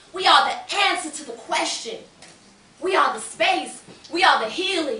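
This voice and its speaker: A woman's raised, projected voice at an extremely high pitch, fairly slow pace, with noticeable background noise. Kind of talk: spoken word poetry performance. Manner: rhythmic, impassioned.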